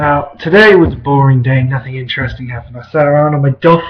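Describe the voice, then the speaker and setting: A somewhat breathy man's voice at a fairly quick pace, with ordinary pitch variation. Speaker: vlogger. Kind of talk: casual talk to camera.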